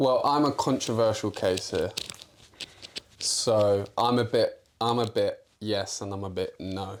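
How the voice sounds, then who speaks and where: A man speaks at a fairly slow pace with a North London accent. Noticeable background noise runs behind him. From North London (Islington). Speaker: football podcast co-host. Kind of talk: casual chat.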